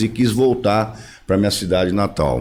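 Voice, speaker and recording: Intonation is lively in this man's speech. He goes at a fairly slow pace. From Brazil, interior of São Paulo state (Tupã). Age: 60s. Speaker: former mayor, politician. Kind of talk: podcast interview.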